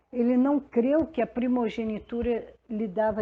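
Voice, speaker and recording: A woman's fairly high voice at a very slow pace. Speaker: pastor; radio announcer. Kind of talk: devotional sermon. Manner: conversational, unhurried.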